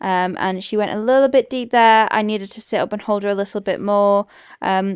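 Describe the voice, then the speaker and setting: With a Yorkshire accent and fairly even intonation, the speaker talks at a fairly quick pace over a quiet background. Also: woman, medium pitch for a woman. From Yorkshire, northern England. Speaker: equestrian vlogger. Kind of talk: vlog commentary.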